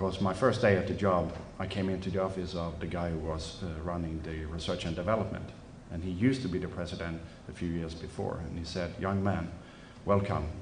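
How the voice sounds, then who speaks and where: A man with a Swedish accent speaks at a very deep, low pitch and a fairly quick pace. His intonation is fairly even, with audible room echo. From Sweden. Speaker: company president. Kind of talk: press conference presentation. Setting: press conference at trade show.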